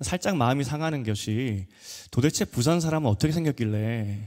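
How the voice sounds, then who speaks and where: A man speaks at a medium pitch and a moderate pace, his tone dark and mellow, with lively intonation. The recording is very clean, with a silent background. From Busan, South Korea. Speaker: pastor. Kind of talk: sermon. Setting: church.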